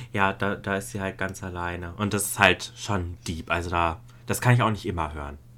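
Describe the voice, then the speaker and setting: Here a man speaks at a moderate pace with a very deep, low pitch. His tone is bright and sharp, his intonation fairly even. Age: 20s. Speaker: podcast co-host. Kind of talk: casual chat.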